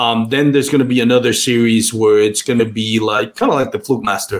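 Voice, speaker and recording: A man speaks at a fairly quick pace in a Spanish accent, his pitch medium. His intonation stays monotone and flat. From Puerto Rico. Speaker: kayak fishing podcaster. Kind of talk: casual chat. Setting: video call.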